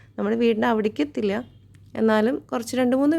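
A woman is speaking. Her tone is dark and mellow. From Kerala, Thrissur district (Choondal). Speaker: vlogger. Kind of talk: vlog narration. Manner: casual, chatty.

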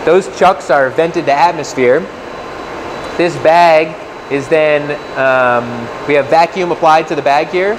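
Noticeable noise sits behind speech that moves fairly slowly. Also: man. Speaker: factory guide. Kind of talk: tour explanation. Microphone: lapel.

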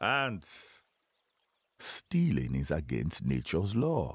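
A man puts on a cartoonish character voice, extremely low and slightly husky, swinging very widely in pitch at a very slow pace.

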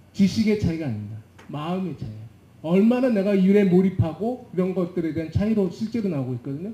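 A man talks at a very fast pace with a high pitch, lively intonation and a dark, mellow tone. Audible room echo surrounds his voice. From South Korea. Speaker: management consultant; panelist. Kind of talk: panel discussion. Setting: conference stage with audience. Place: hall. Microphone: handheld.

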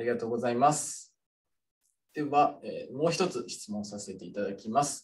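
A man speaks at medium pitch and a moderate pace, sounding somewhat breathy. His intonation is lively, with big swings in loudness. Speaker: student moderator. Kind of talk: webinar moderation. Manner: formal. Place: office. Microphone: studio mic.

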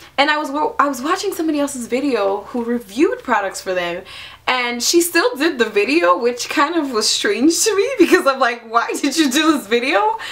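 A woman's high-pitched voice at a fairly quick pace, with very wide pitch swings. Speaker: YouTube vlogger. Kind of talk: angry rant. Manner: animated, sarcastic mimicry. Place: home room. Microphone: camera far.

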